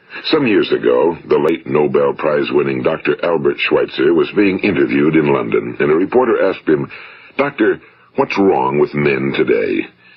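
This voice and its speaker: Noticeable background noise sits under a man's voice, whose loudness stays very even. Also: moderate pace. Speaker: motivational speaker. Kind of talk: motivational talk, broadcast-style narration. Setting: vintage 1950s studio recording. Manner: measured, earnest, authoritative.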